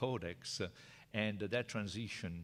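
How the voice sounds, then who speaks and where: A man speaks with an Italian accent and fairly even intonation. The recording is very clean, with a silent background. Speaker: professor. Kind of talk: lecture. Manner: halting.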